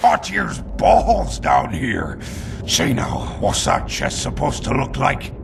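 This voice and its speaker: Against clear background noise, a man does a put-on character voice with a very deep, low pitch. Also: fairly slow pace. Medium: machinima. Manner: gruff, coarse.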